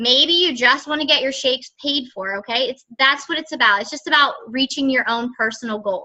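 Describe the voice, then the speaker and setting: A woman uses a raised, projected voice at a high pitch. Her tone is bright and sharp, and her pace is moderate. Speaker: fitness business coach. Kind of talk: group coaching call. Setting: conference call. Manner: casual, filler-heavy.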